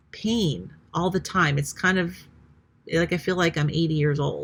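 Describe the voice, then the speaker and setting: A woman speaks with a very deep, low pitch and vocal fry. Her pitch varies in an ordinary way. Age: 50s. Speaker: retired nurse, health vlogger. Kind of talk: casual vlog monologue. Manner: hesitant, many fillers.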